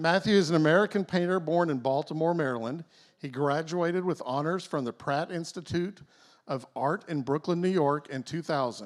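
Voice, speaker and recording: A man with a Texas accent and fairly high pitch, ordinary pitch variation, moderate pace, on a very clean recording with a silent background. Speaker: event emcee. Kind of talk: reading aloud an artist introduction.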